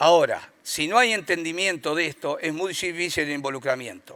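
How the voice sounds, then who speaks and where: At a moderate pace, a man with a high pitch and a bright, sharp tone speaks with ordinary pitch variation. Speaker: rural producers' association representative. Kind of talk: conference talk.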